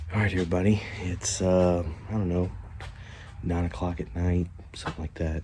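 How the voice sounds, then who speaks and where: A man's very deep, low voice, somewhat breathy and dark, mellow in tone, with fairly even intonation at a fairly quick pace. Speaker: DIY home renovation vlogger. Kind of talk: casual vlog narration. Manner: casual with many fillers; quiet, trying not to wake family.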